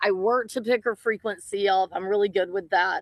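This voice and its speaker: An ordinary speaking voice at a moderate pace, with ordinary pitch variation and a dry, close sound with no echo. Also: woman. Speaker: shaman. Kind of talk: casual chat.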